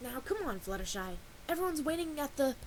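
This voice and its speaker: A put-on character voice, female-sounding and high-pitched, at a very fast pace over clear background noise. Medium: read story. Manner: blunt, pushy.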